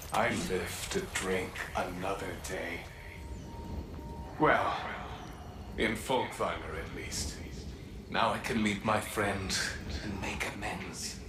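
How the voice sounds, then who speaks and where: A man in a cartoonish character voice, fairly low-pitched, at a very slow pace with a slight echo and loud background noise. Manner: hearty.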